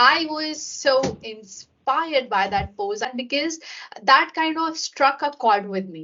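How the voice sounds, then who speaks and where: At a very slow pace and a high pitch, a woman with a non-native accent speaks with lively intonation and big swings in loudness. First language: not English. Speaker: podcast host. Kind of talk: interview conversation.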